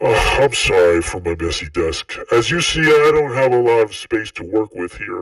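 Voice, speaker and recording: A man does a put-on character voice at a moderate pace with hardly any pauses. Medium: read story. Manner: dismissive, defensive.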